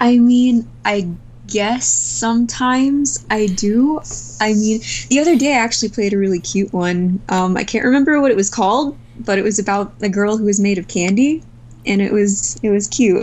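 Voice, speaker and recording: Using an ordinary speaking voice, a woman with a medium pitch speaks at a moderate pace with lively intonation. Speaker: artist, visual novel co-creator. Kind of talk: casual interview.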